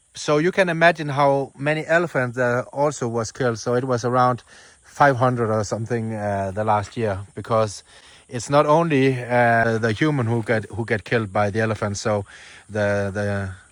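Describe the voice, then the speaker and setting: A man with a non-native accent and ordinary pitch variation, on a very clean recording with a silent background. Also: medium pitch for a man, fairly quick pace. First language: Danish. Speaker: travel vlogger. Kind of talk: vlog narration. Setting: outdoors. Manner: halting.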